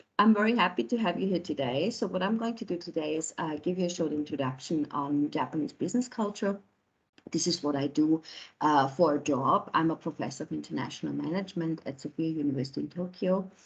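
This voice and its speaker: Very fast and somewhat breathy, a woman with a very deep, low pitch speaks with lively intonation. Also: quiet background. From Austria. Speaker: professor. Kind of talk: lecture. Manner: halting, many fillers.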